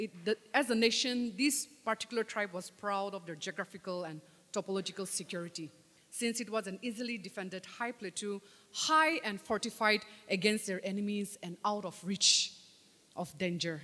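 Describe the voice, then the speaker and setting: A woman speaks at a medium pitch with a bright, sharp tone. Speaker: lay preacher; preacher. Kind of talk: sermon. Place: church. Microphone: podium.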